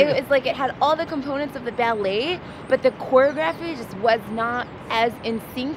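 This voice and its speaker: Dry and echo-free, the speech runs at a moderate pace with ordinary pitch variation and noticeable background noise. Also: woman, high pitch for a woman. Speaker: vlog co-host. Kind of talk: casual restaurant review chat. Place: street. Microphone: phone near.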